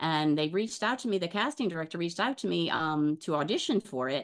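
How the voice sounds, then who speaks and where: In an American accent and with a normal speaking voice, a woman talks at a fairly quick pace, her fairly low pitch carrying lively intonation over a quiet background. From US South, New Orleans. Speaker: actress. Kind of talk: casual interview.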